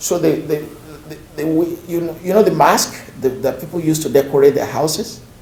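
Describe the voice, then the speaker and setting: In a Nigerian accent, a man speaks at a fairly quick pace with a fairly high pitch and ordinary pitch variation. Audible room echo surrounds his voice. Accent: Nigerian (Yoruba) English. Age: 50s. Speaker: professor. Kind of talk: lecture. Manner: repetitive, halting restarts.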